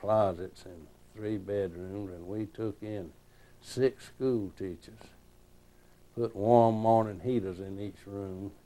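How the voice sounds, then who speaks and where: In a South Carolina accent, a man speaks at a fairly slow pace with fairly even intonation and a dark, mellow tone. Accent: Southern US (Upstate South Carolina). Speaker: retired state senator. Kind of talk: oral history interview.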